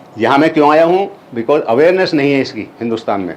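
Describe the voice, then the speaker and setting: A man with a fairly high pitch at a moderate pace, over noticeable background noise. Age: 70s. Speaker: retired army officer and inventor presenting his technology. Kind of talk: lecture presentation. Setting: university auditorium with audience. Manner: code-switching Hindi and English.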